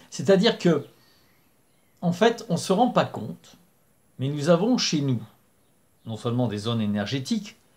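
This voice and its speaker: Somewhat breathy and fairly high-pitched, a man speaks at a fairly slow pace with very wide pitch swings and long, frequent pauses. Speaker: spiritual channel host. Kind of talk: spoken talk to camera. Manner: hesitant with fillers.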